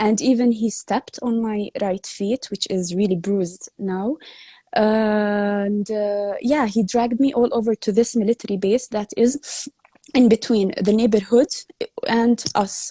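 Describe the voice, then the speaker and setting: A woman with an Arabic accent speaks at a fairly slow pace in a fairly high, somewhat breathy voice with a dark, mellow tone and ordinary pitch variation, the sound dry and close with no echo. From Palestine. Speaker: activist. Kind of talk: interview testimony. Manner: halting.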